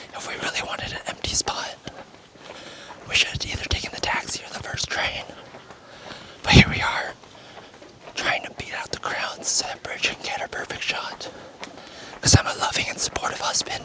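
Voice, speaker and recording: A man whispers at a moderate pace, with long, frequent pauses and big swings in loudness. Noticeable background noise is audible. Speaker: travel vlogger. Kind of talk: casual vlog narration. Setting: outdoors. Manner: casual with many fillers.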